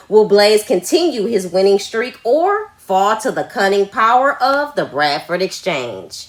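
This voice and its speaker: The speech moves at a fairly slow pace with hardly any pauses and very wide pitch swings. Background noise is noticeable. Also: woman, medium pitch for a woman. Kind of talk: wrestling promo announcer voiceover. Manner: hyped, dramatic.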